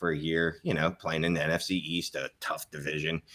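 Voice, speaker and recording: In a very deep, low voice with a bright, sharp tone, a man talks at a fairly quick pace with monotone, flat intonation. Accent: Philadelphia. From US Northeast, Philadelphia. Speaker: fantasy football analyst. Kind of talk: casual podcast discussion.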